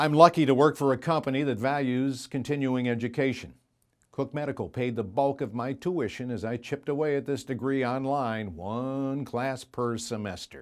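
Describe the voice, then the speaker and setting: A man's normal speaking voice, medium in pitch, at a moderate pace. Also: ordinary pitch variation, very clean recording, silent background. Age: 60s. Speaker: graduate giving commencement speech. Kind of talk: commencement speech.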